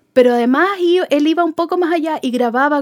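With an unremarkable speaking voice, a woman talks at a moderate pace using lively intonation. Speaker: music fan, contributor. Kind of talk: casual chat.

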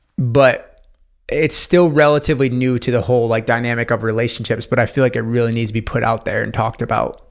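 With music in the background, a man with an American accent talks very fast in a medium pitch, his intonation fairly even. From upstate New York. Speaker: intuitive life coach. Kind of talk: podcast interview. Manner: casual, many fillers.

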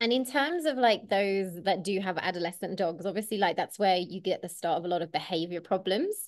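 A woman talks at a fairly quick pace with an English accent. Her pitch is medium, with ordinary pitch variation. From England. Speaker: podcast host, dog trainer. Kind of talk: casual chat.

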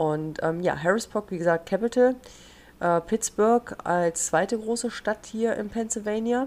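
A woman talks at a fairly slow pace in a normal speaking voice. Her pitch is fairly high, with ordinary pitch variation. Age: young. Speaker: podcast host. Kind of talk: casual chat.

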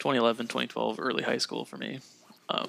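A man speaks over noticeable background noise. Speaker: podcast co-host. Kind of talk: casual chat.

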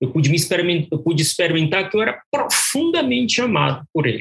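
With lively intonation, a man's somewhat breathy voice comes through. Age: 60s. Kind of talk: testimony. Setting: remote call.

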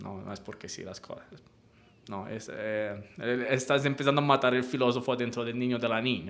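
A man speaks with an Italian accent at a medium pitch. His intonation stays fairly even. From Italy, island of Elba. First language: Italian (speaking Spanish). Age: 30s. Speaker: university researcher, philosopher. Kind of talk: radio interview.

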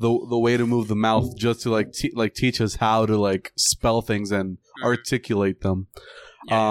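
In a Puerto Rican accent, a man speaks at a medium pitch with fairly even intonation, captured as a dry, close sound with no echo on a very clean recording with a silent background. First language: Spanish. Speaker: podcast co-host. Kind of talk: casual chat.

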